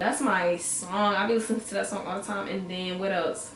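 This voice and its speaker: Animated in tone, a woman talks fairly quickly amid noticeable background noise and audible room echo. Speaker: music review vlogger. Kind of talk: casual vlog review. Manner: fast.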